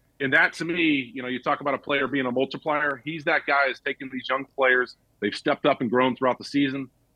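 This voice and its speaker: Fairly quick and with hardly any pauses, a man talks in an unremarkable speaking voice with an American accent. His pitch is fairly high and his intonation fairly even. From US South, Georgia (Marietta). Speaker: former NFL player and sports broadcaster. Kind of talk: casual chat.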